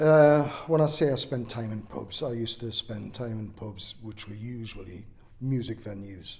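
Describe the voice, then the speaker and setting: Somewhat breathy and medium in pitch, a man speaks at a fairly slow pace with ordinary pitch variation and audible room echo. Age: 60s. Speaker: oral history interviewee. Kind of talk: interview. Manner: hesitant, with fillers.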